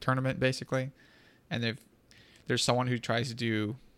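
Over a silent background in a very clean recording, a man talks with monotone, flat intonation. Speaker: podcast host. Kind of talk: casual chat.

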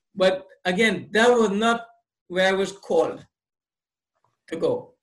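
A man speaks fairly slowly in a high voice with fairly even intonation. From Trinidad and Tobago. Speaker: motivational speaker and author. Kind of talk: casual interview.

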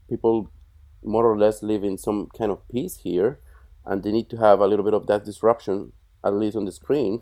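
A man's fairly low, dark and mellow voice with a Colombian accent, at a moderate pace and with fairly even intonation. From Colombia (Bogota). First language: Spanish. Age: 40s. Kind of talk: interview, casual conversation.

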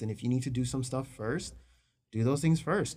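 Recorded very cleanly over a silent background, a man speaks at medium pitch and a moderate pace. His voice is somewhat breathy, with ordinary pitch variation. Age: 30s. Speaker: engaged partner interviewed about relationship. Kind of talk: casual interview.

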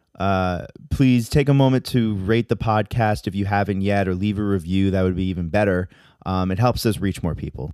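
A man speaks in an ordinary speaking voice at a moderate pace, his fairly low pitch moving with ordinary variation. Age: 20s. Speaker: podcast host. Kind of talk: casual chat.

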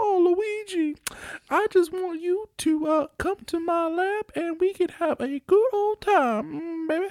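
In a put-on character voice, a female-sounding speaker pitches her words extremely high. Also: fairly slow pace. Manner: sassy, flirtatious.

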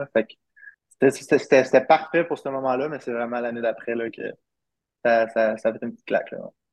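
A man with an ordinary speaking voice, medium pitch, fairly even intonation, a moderate pace and big swings in loudness. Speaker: professional baseball player. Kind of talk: interview.

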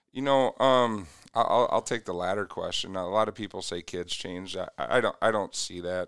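On a very clean recording with a silent background, a man with an American accent talks at a moderate pace with ordinary pitch variation. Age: 40s. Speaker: youth basketball coach. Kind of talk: casual interview.

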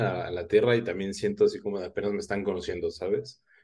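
Somewhat breathy, a man speaks very fast with very wide pitch swings. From Oaxaca, Mexico. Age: 20s. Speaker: history content creator. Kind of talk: casual interview chat.

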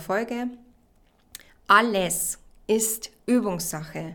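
A woman speaks at a medium pitch, with ordinary pitch variation. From Bavaria, Regensburg. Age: 20s. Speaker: podcast host and life coach. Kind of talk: solo self-help podcast talk. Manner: enthusiastic, warm.

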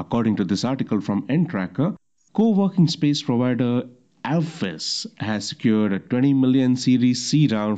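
Over a quiet background, a dark, mellow tone carries lively intonation at a moderate pace. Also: man, medium pitch for a man. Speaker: podcast host. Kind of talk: solo news roundup podcast.

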